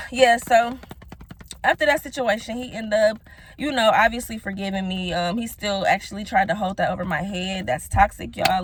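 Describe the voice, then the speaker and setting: Somewhat breathy, a woman speaks at a very fast pace. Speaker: YouTuber telling personal stories. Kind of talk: casual storytelling vlog. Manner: animated.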